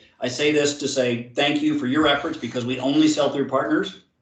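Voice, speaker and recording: Pitched fairly high, the man keeps his intonation fairly even while noticeable noise sounds in the background. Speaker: sales manager presenting to partners. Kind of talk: webinar presentation. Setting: virtual seminar. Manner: fast.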